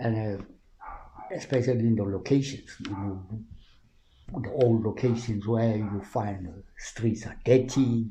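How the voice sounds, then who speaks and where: At medium pitch, a man speaks fairly slowly with fairly even intonation, leaving long, frequent pauses. His loudness swings widely, and the room echo is audible. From South Africa, Roodepoort West (Gauteng). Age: 70s. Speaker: community-based researcher. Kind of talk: interview, reminiscing. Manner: halting with repetitions.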